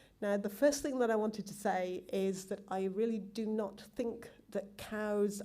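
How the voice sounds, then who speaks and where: A woman with a strong British accent, medium pitch, fairly even intonation and a fairly slow pace. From England. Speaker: genetics professor. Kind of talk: conference talk. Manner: hesitant, many ums.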